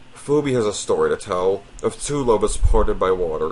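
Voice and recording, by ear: At a moderate pace, a man talks with lively intonation, a fairly low pitch and a slightly mellow tone.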